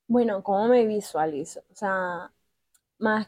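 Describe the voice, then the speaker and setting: A woman's dark, mellow voice at medium pitch, fairly even in intonation and very slow, with a dry, close sound and no echo. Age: 20s. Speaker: art therapy workshop leader. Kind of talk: casual interview.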